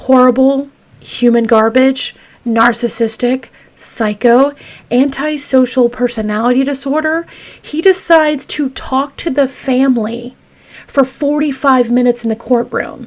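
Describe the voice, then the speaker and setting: Her voice is high-pitched, with fairly even intonation. The woman speaks at a fairly slow pace. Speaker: true crime podcaster. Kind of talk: casual true crime narration. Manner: stuttering, halting when upset.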